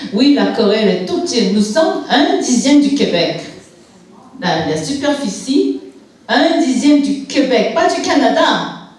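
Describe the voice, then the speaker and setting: A woman's high-pitched voice with very wide pitch swings at a fairly slow pace, with audible room echo and noticeable background noise. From Quebec, Montreal (born in Korea, moved at 5). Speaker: church guest speaker. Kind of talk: testimony. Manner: halting.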